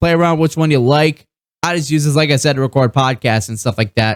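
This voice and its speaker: This man speaks at a very fast pace. The sound is dry and close with no echo, on a very clean recording with a silent background. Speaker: gaming streamer. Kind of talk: tutorial. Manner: casual, rambling with fillers.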